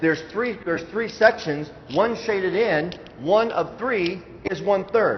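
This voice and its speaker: Noticeable background noise sits behind a man speaking in a high voice. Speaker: school math presenter. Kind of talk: presentation to parents. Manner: fast; hesitant fillers.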